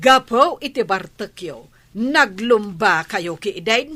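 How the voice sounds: Doing a put-on character voice, a woman speaks slowly at a medium pitch, with lively intonation and a bright, sharp tone.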